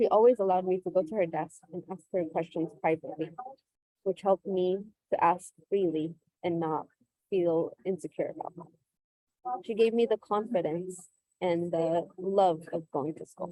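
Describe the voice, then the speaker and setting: A woman with a Californian accent speaks at a moderate pace and a medium pitch, her dark, mellow tone and fairly even intonation broken by long, frequent pauses and big swings in loudness, all in a dry, close sound with no echo. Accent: Californian American English. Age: 20s. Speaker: teacher. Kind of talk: personal testimony.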